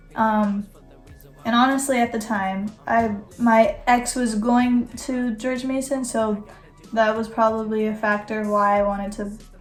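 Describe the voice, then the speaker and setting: With music in the background, a woman speaks in an American accent at a fairly slow pace. Her fairly high voice has monotone, flat intonation. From Northern Virginia, US. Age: young. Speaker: college student vlogger. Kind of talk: casual vlog talk. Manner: rambling, hesitant with fillers.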